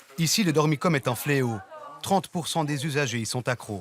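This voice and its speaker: There is noticeable background noise behind this man. His voice is fairly high, with lively intonation. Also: moderate pace. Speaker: TV news reporter. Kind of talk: TV news report narration.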